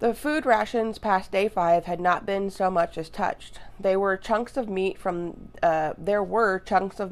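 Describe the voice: Ordinary pitch variation in plain reading aloud.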